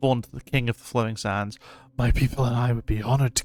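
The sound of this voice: The reading comes across as unforced. Intonation stays mostly level.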